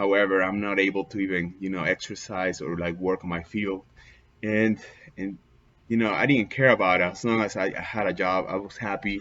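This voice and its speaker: Speaking in a Peruvian accent, the voice moves at a fairly quick pace. Its intonation is fairly even. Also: man, fairly low pitch for a man. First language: Spanish. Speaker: immigrant vlogger. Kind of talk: personal testimony. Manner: halting, many fillers.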